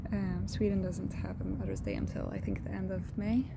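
A woman speaks at a moderate pace with ordinary pitch variation. The sound is dry with no echo, and there is loud background noise. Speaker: vlogger. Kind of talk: casual vlog chat. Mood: calm, warm, relaxed. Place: garden. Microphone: phone near.

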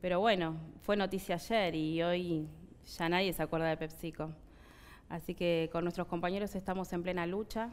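Monotone, flat intonation runs through speech delivered at a moderate pace. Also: woman, fairly low pitch for a woman. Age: 30s. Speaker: factory worker. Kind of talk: interview; interview answer. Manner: halting. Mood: sad, earnest. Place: studio. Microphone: headset.

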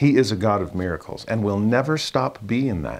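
A man's fairly low-pitched voice carries lively intonation. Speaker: religious teacher. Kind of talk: scripture lesson commentary. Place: home room. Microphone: lapel.

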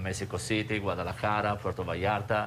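A man with a fairly low pitch and an Italian accent, light background noise behind him. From Genoa area, Italy. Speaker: restaurant chef on a cooking segment. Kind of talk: interview answer. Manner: non-native, somewhat broken English. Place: kitchen. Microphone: lapel.

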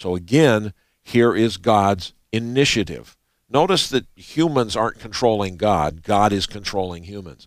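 The speech moves at a fairly slow pace with lively intonation, recorded dry with no echo against a quiet background. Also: man, fairly low pitch for a man. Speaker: co-host Bible teacher. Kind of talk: Bible study teaching. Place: studio. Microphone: headset.

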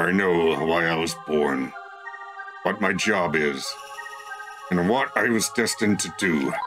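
A put-on character voice goes at a fairly slow pace with clear music in the background. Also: man, very deep, low pitch for a man. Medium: game stream. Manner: grandiose, wrathful.

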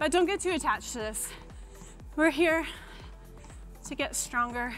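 A woman speaks. Faint music plays behind her. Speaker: fitness coach. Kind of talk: workout instruction. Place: studio. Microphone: lapel.

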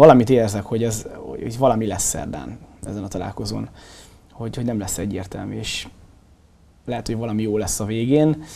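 A man's fairly low, dark, mellow voice with vocal fry, a fairly quick pace, ordinary pitch variation, big swings in loudness and long, frequent pauses. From Hungary. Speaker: sports show host; panel guest or host of sports talk show. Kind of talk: casual sports discussion. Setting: studio. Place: studio.

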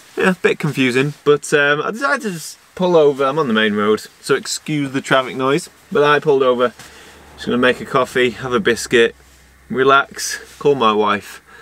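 With lively intonation and a bright, sharp tone, a man speaks at a moderate pace in a dry sound with no echo. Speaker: landscape photographer vlogger. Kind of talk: casual vlog chat. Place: car.

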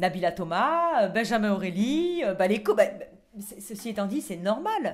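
Loudness shifts in big swings and pitch swings very widely, all at a fairly slow pace. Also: woman, fairly high pitch for a woman. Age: 40s. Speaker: reality TV contestant. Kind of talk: casual chat. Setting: in a bathtub. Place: bathroom. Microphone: handheld.

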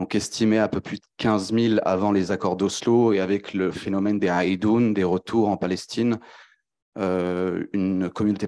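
Over a quiet background, a man with a dark, mellow tone speaks at a fairly slow pace, his fairly low pitch held in fairly even intonation. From France. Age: 20s. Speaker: PhD researcher; panelist. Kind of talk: academic presentation. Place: hall. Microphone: handheld.

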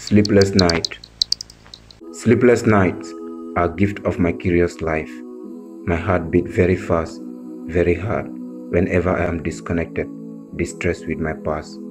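Over music in the background, a man with a West African accent and a very deep, low pitch speaks at a fairly slow pace with lively intonation and long, frequent pauses. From Gambia. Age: 20s. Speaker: spoken word poet. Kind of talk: poetry reading.

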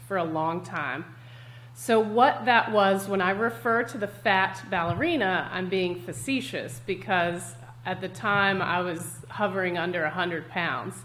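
Vocal fry colors a woman's voice. She speaks fairly slowly, with very wide pitch swings. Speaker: guest health coach. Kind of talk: interview answer. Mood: candid, reflective. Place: home room.

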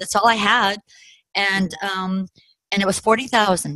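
Dry with no echo and set against a quiet background, the voice has a bright, sharp tone, fairly even intonation and a fairly slow pace. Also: woman. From Colorado, USA. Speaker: real estate investor. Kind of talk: personal story interview. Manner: halting, many fillers. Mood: reflective, amused storytelling. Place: home room. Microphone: video call.

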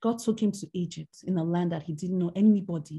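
Against a quiet background, a woman with a medium pitch speaks at a moderate pace in a somewhat breathy, dark, mellow tone with ordinary pitch variation. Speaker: minister and women's mentor. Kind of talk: sermon. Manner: halting.

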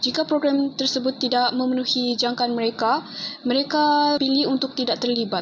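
A high-pitched woman's voice at a moderate pace, with fairly even intonation, very even loudness and noticeable background noise. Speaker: university student. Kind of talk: class presentation.

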